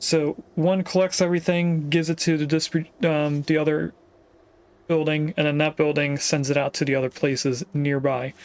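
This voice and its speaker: Speaking at a moderate pace in a fairly high voice, a man with an unremarkable speaking voice keeps his loudness very even. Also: fairly even intonation. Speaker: video game streamer. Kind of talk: gameplay commentary. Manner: casual, thinking aloud with fillers.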